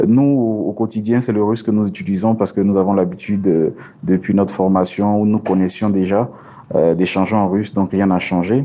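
An unremarkable speaking voice from a man, fairly low in pitch, with fairly even intonation, very even loudness and a moderate pace. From Côte d'Ivoire. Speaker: cardiovascular surgeon. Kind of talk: interview.

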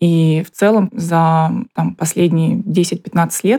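With a fairly low pitch, a woman talks in a dark, mellow tone with vocal fry. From Buryatia, Russia (Ulan-Ude). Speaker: interviewee. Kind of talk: interview testimony.

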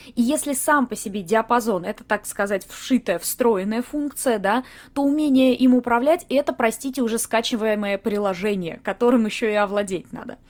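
On a very clean recording with a silent background, a woman speaks in an animated tone at a moderate pace, her fairly high voice showing ordinary pitch variation. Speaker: voice coach and podcaster. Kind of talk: educational monologue, podcast lecture. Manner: animated, lively.

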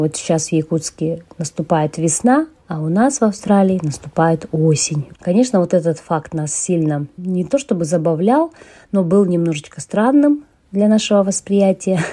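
A woman speaks fairly slowly in a fairly low, somewhat breathy voice with a dark, mellow tone. Her intonation is lively. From Yakutia, Russia. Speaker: emigrant, former English teacher. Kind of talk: interview.

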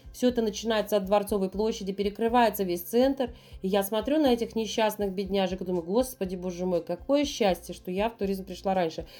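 Speaking at a fairly quick pace, a woman has a dark, mellow tone. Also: medium pitch for a woman, ordinary pitch variation. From Saint Petersburg, Russia. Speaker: tour guide. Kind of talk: casual interview chat.

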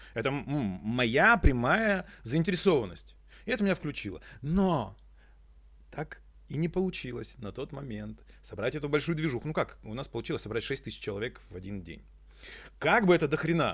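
A man with a fairly high pitch and vocal fry talks at a moderate pace in an energetic tone, taking long, frequent pauses. His pitch swings very widely and his loudness shifts a lot, on a very clean recording with a silent background. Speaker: eco-activist and entrepreneur. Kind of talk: casual interview chat. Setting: eco-loft venue.

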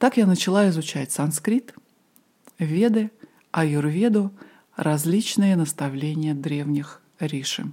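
A woman with a dark, mellow tone speaks very slowly at a fairly low pitch, using lively intonation and long, frequent pauses. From Moscow, Russia. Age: 40s. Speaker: podcast host, ayurveda and yoga teacher. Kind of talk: personal storytelling monologue.

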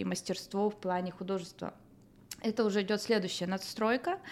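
A woman with a normal speaking voice, medium pitch and fairly even intonation. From northern Kazakhstan. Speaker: artist. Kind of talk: interview.

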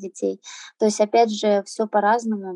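A woman speaks at a medium pitch and a moderate pace with fairly even intonation. The sound is dry and close, with no echo. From Azerbaijan, raised in Russia. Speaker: henna artist living abroad. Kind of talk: interview. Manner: hesitant, many fillers.

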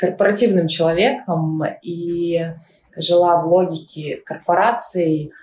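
This woman's pitch is fairly low. She talks very slowly. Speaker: tech company CEO. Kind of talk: interview.

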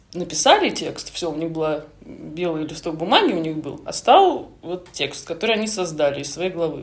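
A woman talks at a fairly quick pace, her voice carrying audible room echo. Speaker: screenwriter, former TV producer. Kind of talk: casual interview chat.

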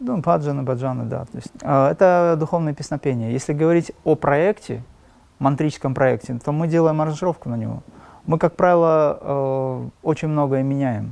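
A man with an unremarkable speaking voice speaks at a moderate pace over a quiet background. His pitch is fairly high, with ordinary variation. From Dagestan, Makhachkala, Russia. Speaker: spiritual teacher and musician. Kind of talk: interview.

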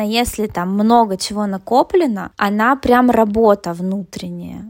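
Very slow speech from a woman with a fairly high pitch. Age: 30s. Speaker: psychologist. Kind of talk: casual interview.

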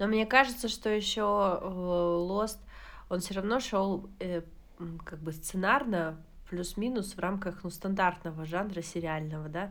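Pausing long and often, a woman with a medium pitch and ordinary pitch variation speaks at a very slow pace amid audible room echo. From Kazakhstan. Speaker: podcast co-host. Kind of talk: casual chat.

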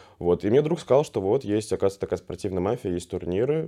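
Very fast, lively speech from a man with a fairly low voice against a quiet background. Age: 20s. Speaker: professional mafia player and streamer. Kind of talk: casual interview.

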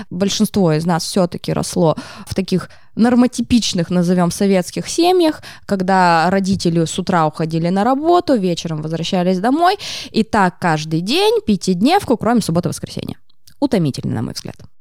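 The tone is animated, with lively intonation. The pace is moderate. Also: woman, medium pitch for a woman. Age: 30s. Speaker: psychologist, art therapist. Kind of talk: casual interview chat. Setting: podcast studio.

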